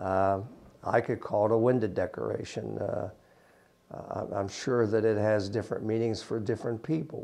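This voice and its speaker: A man with an Appalachian accent talks at a moderate pace in a dark, mellow tone. His pitch is fairly low and his intonation fairly even. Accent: Appalachian American. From US, West Virginia. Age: 60s. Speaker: prison site manager. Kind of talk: interview. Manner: halting.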